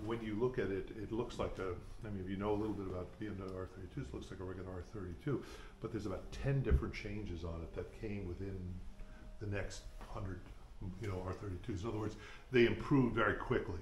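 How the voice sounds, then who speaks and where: A man's very fast, somewhat breathy voice at a fairly low pitch, with ordinary pitch variation, audible room echo and light background noise. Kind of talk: informal guided tour explanation.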